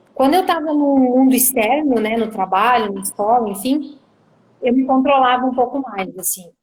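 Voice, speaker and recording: A high-pitched woman's voice with a southern Brazilian accent. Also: ordinary pitch variation, moderate pace. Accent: southern Brazilian (gaúcho). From southern Brazil, Caxias do Sul (Rio Grande do Sul). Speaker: misophonia sufferer sharing experience. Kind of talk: live video interview. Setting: video call livestream.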